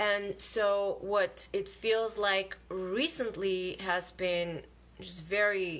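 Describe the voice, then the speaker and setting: In a very clean recording with a silent background, a woman with a non-native accent speaks at a very slow pace. Her pitch is medium, and her intonation is fairly even. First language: not English. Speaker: spiritual vlogger. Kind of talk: casual live monologue. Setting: livestream video. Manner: halting.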